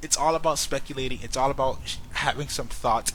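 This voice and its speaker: A man talks very fast with vocal fry and ordinary pitch variation. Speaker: YouTube fan commentator. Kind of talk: casual vlog commentary. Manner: animated.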